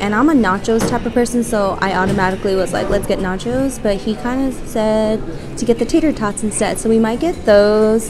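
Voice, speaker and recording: Clear music plays behind a woman speaking at a fairly quick pace. Her pitch varies an ordinary amount. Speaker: vlogger. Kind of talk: casual vlog chat. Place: hall. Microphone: phone near.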